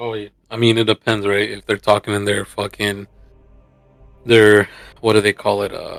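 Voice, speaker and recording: With a Spanish accent, a man speaks at a moderate pace and fairly low pitch in monotone, flat intonation, with big swings in loudness and long, frequent pauses, in a dry, close sound with no echo and music in the background. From United States. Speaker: gamer, streaming guest. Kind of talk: casual chat.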